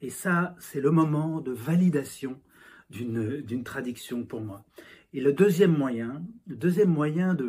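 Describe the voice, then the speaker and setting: A fairly high-pitched man's voice, dark and mellow in tone, with ordinary pitch variation. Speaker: novelist. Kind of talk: interview monologue. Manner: halting, many fillers and repetitions.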